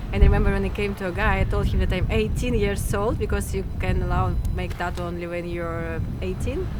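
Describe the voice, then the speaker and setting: In a Russian accent, a woman talks at a very fast pace with a very deep, low pitch and lively intonation, noticeable background noise and audible room echo around her. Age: 20s. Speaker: interviewee about her tattoos. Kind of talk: casual interview. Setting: outdoors on a rooftop.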